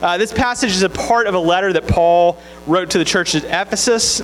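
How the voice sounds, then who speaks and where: A man at a very fast pace with a Southern US accent, high in pitch with ordinary pitch variation, amid noticeable background noise. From Mississippi, US South. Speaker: campus minister. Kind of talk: sermon.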